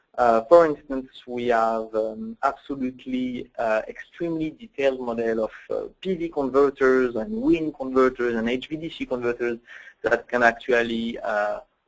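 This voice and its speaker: Speaking in a French accent, a man keeps a moderate pace at medium pitch, with ordinary pitch variation and hardly any pauses. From France. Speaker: software application engineer. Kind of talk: technical webinar presentation. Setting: online webinar. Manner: hesitant, many fillers.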